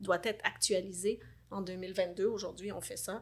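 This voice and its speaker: A woman talks at a moderate pace with a medium pitch. She has an ordinary speaking voice. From Lebanon. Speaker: life coach. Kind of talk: interview.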